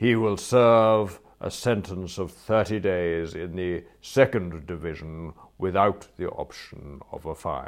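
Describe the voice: In a put-on character voice, a man talks slowly with few pauses, using a low pitch, vocal fry and ordinary pitch variation.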